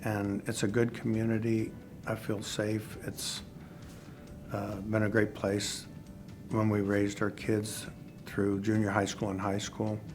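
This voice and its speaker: Over music in the background, the speaker goes at a fairly slow pace with long, frequent pauses and a monotone, flat intonation. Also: man, fairly low pitch for a man. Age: 60s. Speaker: heart attack patient. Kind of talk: interview answer.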